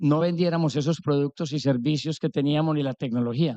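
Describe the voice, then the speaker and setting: Dry and close with no echo, a man's fairly high voice carries a dark, mellow tone and ordinary pitch variation. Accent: Antioquian. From Colombia, Antioquia (paisa). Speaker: business executive. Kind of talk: conference talk. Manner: animated.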